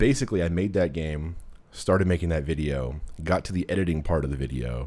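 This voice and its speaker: On a very clean recording with a silent background, a man with a very deep, low pitch and a dark, mellow tone talks at a fairly quick pace with ordinary pitch variation. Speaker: podcast host and game developer. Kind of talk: casual chat. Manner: fast; animated.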